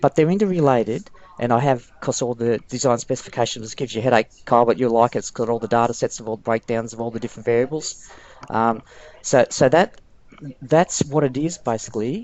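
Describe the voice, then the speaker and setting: A man at medium pitch, with ordinary pitch variation and a very fast pace. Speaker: presenter at work meeting. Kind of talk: work presentation. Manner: halting.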